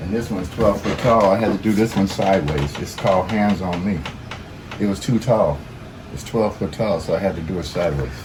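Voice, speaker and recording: Noticeable background noise sits behind a man with a fairly low voice. He speaks at a fairly quick pace with ordinary pitch variation. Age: 70s. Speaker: artist. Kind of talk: interview answer.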